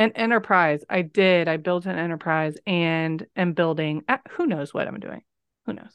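Over a quiet background with a dry, close sound with no echo, a woman with a normal speaking voice speaks at a moderate pace, her pitch fairly low and her pitch variation ordinary. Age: 30s. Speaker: nurse and birth educator. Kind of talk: casual interview.

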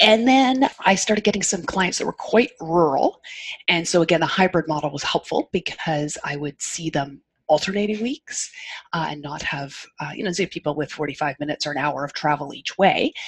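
A woman talks at a moderate pace with a fairly low pitch and lively intonation. The sound is dry and close, with no echo. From Canada. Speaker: occupational therapist. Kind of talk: casual interview chat. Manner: calm, soothing.

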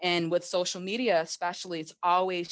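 A woman with an American accent has a normal speaking voice, fairly low in pitch, moving at a moderate pace over a quiet background. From Massachusetts. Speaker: social media marketer. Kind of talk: interview conversation. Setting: video call.

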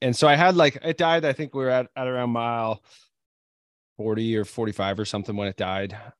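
Speaking at a fairly quick pace and medium pitch, a man with a normal speaking voice is heard in a very clean recording with a silent background and a dry, close sound with no echo. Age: 30s. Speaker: podcast host and ultrarunner. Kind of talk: casual chat.

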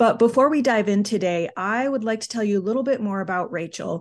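Against a quiet background, a woman speaks in a plain, everyday voice at a medium pitch with ordinary pitch variation. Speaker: podcast host. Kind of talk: casual interview chat.

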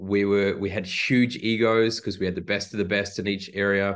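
A man with a New Zealand accent, fairly low in pitch, at a moderate pace against a quiet background. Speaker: high performance leadership expert. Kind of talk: casual interview.

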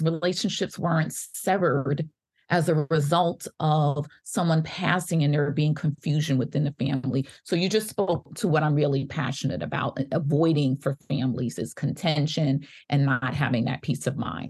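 The voice is somewhat breathy, with very even loudness. It moves at a moderate pace over a quiet background. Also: woman. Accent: American. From New York (Bronx). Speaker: physician and legal advocate. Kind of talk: interview chat.

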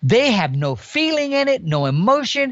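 A man is speaking. His pitch swings very widely up and down. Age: 60s. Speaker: elk hunter. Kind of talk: casual interview chat.

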